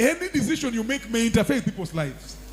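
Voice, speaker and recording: A man talks in a high pitch. Music plays in the background. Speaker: pastor. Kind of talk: sermon.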